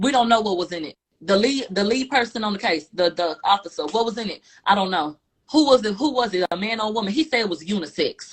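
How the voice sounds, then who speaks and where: A woman with a fairly high pitch talks at a fairly quick pace, her tone animated and somewhat breathy. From Houston, Texas. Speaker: trial commentator. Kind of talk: casual chat.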